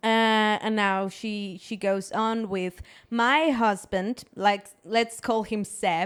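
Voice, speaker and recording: A woman with a Spanish accent, fairly high-pitched, at a very slow pace. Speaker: podcast host. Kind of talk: reading aloud with reactions. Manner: animated.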